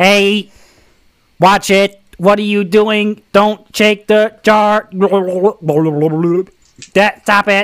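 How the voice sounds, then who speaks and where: A put-on, robotic character voice with a fairly high pitch drones in a monotone, flat intonation at a very slow pace, broken by long, frequent pauses. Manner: indignant, complaining.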